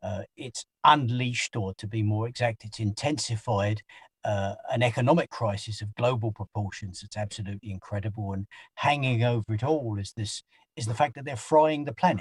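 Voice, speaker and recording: In a very clean recording with a silent background and a dry, close sound with no echo, a somewhat breathy man speaks at a moderate pace and medium pitch, with ordinary pitch variation and big swings in loudness. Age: 60s. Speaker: anti-poverty organizer. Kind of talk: interview. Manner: halting, many repeated words.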